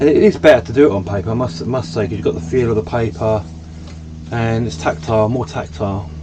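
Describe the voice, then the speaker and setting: Here a man talks very fast in a fairly low pitch with lively intonation. Noticeable background noise runs underneath. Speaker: vlogger. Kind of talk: casual vlog monologue. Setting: in a camper van.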